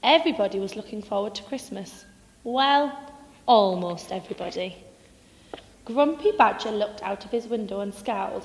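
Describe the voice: A woman's medium-pitched voice with lively intonation. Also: moderate pace.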